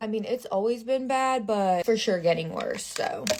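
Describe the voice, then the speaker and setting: With an American accent, a woman speaks at a fairly quick pace and a fairly high pitch, with ordinary pitch variation. Noticeable background noise runs behind her. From Oklahoma, US. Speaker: lifestyle content creator. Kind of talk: get-ready-with-me vlog. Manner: casual, chatty.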